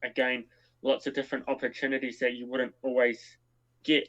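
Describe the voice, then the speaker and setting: A man speaks with a New Zealand accent. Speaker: co-founder of a scouting online community. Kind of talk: live stream Q&A. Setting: live stream.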